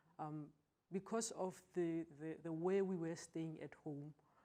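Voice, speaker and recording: A woman's dark, mellow tone at a fairly low pitch, with fairly even intonation and a fairly slow pace. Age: 40s. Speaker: customs officer sharing abuse story. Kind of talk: testimony. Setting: TV studio.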